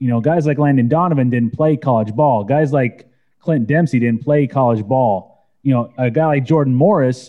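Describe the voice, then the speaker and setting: A man with a fairly high pitch talks at a moderate pace in a plain, everyday voice. His pitch variation is ordinary. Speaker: soccer podcast host. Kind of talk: casual panel discussion.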